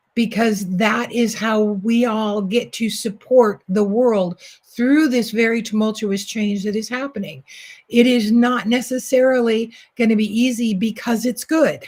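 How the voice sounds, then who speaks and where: The speech comes at a fairly slow pace, somewhat breathy and with fairly even intonation. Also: woman, fairly high pitch for a woman. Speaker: spiritual coach and oracle card reader. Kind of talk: oracle card reading. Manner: soft-spoken.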